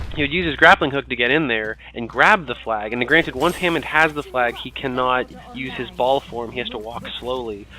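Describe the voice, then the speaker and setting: A man at medium pitch talks at a fairly quick pace with hardly any pauses. His pitch varies in an ordinary way over noticeable background noise. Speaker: gaming commentator. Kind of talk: gameplay commentary.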